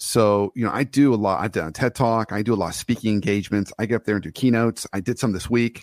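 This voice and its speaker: A man speaks very fast at a medium pitch, the sound dry and close with no echo. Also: very clean recording, silent background. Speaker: leadership coach. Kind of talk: casual chat. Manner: halting.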